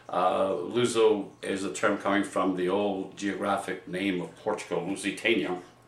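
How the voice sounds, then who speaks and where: With an American accent, a man speaks at a moderate pace, fairly low in pitch, with fairly even intonation and hardly any pauses. Audible room echo carries his voice. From New Bedford, Massachusetts, US. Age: 70s. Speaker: community elder. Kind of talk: personal storytelling. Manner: halting, frequent fillers.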